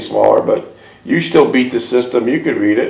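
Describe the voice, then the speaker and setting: Noticeable noise fills the background. The speaking pace is moderate. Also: man. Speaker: interviewer. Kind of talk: interview questions.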